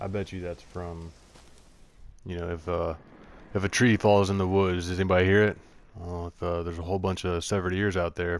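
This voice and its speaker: Mumbling in a very deep, low voice, a man talks fairly quickly in a flat monotone, his loudness swinging widely between long, frequent pauses. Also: very clean recording, silent background. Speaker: gamer streamer. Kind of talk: casual commentary over gameplay. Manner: louder than before.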